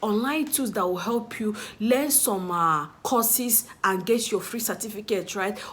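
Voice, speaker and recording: A fairly slow woman's voice, an ordinary speaking voice pitched fairly high, with ordinary pitch variation. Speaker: YouTuber and social media strategist. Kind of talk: casual vlog to camera.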